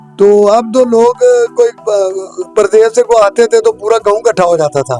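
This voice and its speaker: Music plays in the background behind speech with ordinary pitch variation. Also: man, high pitch for a man. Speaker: card shop owner. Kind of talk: interview answer. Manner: nostalgic.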